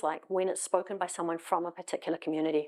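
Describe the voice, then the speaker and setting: A woman with a South African accent is heard on a very clean recording with a silent background. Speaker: tech executive. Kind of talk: conference talk. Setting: stage with audience. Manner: fast.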